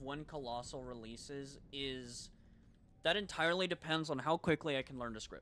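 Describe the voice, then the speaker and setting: A loud man speaks at a moderate pace with ordinary pitch variation. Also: very clean recording, silent background. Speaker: gaming streamer. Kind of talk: casual live stream chat. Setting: home, live stream.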